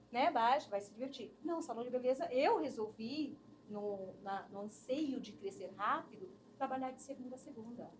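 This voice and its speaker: High pitch marks this woman's voice. The rise and fall of her pitch is ordinary. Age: 50s. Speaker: human resources specialist. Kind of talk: interview conversation. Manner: animated.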